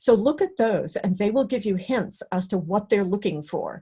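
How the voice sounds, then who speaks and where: A somewhat breathy woman at a medium pitch, with a quiet background. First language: not English (English is third language). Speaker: career development director, presenter. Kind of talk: webinar talk and Q&A. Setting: online webinar.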